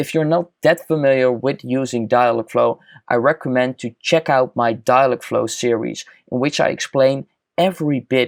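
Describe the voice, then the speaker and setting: Speaking at a moderate pace with a Dutch accent, a man comes across in a dry, close sound with no echo. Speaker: chatbot tutorial youtuber. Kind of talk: screen-recorded software tutorial.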